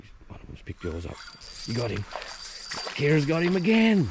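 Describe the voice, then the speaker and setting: Over noticeable background noise, a man with a high-pitched voice speaks at a moderate pace. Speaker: fishing vlogger. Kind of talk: casual outdoor vlog commentary. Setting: outdoors by a creek. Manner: hushed, trying to be quiet.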